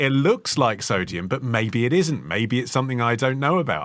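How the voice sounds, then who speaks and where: An unremarkable speaking voice from a man, medium in pitch with lively intonation, at a moderate pace in a very clean recording with a silent background. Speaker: podcast co-host. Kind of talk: history podcast discussion.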